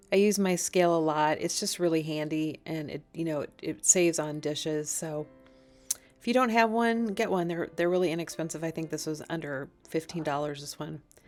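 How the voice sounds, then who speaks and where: A woman speaks in a fairly low voice while music plays in the background. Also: ordinary pitch variation. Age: 50s. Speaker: cooking vlogger. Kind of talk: tutorial. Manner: casual.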